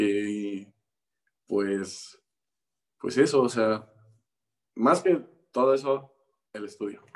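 A man talks with a Mexican accent. His pace is very slow. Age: 20s. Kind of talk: interview. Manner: hesitant, many fillers.

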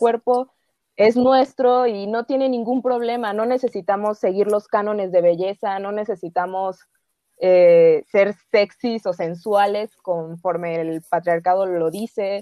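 A normal speaking voice from a woman, fairly high-pitched, with ordinary pitch variation. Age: 20s. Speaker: film worker. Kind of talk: casual chat.

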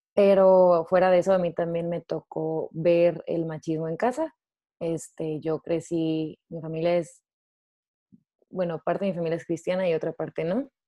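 Using an ordinary speaking voice, a woman talks at a fairly slow pace with a fairly low pitch and fairly even intonation. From northern Mexico, Ciudad Juárez. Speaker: theology student. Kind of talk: casual chat.

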